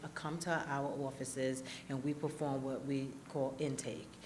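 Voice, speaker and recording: A woman's very deep, low voice with audible room echo and noticeable background noise. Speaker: probation official. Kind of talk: panel discussion. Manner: fast.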